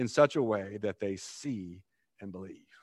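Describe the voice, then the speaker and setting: Against a quiet background, a man speaks in a normal speaking voice. His intonation is lively and his pace moderate. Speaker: pastor. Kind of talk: sermon. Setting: church.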